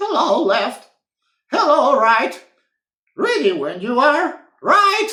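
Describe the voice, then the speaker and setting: In a put-on character voice, the high pitch makes very wide swings at a very slow pace with long, frequent pauses and an audible echo. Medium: read story. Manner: cheerful, teasing.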